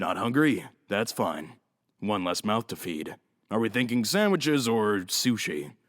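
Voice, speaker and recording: Putting on a character voice with a smug tone, a man talks at a moderate pace and medium pitch with lively intonation, in a very clean recording with a silent background. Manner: smug, casual.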